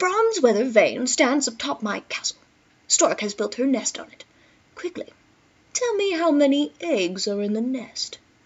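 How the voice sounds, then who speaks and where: A put-on, female-sounding character voice, high in pitch, at a moderate pace. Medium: read story. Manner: commanding.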